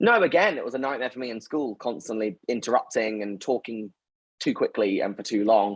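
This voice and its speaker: A man with a London accent at a fairly quick pace, with ordinary pitch variation and big swings in loudness. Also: medium pitch for a man. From North London, England. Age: 20s. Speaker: company founder and CEO. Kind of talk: interview. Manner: fast.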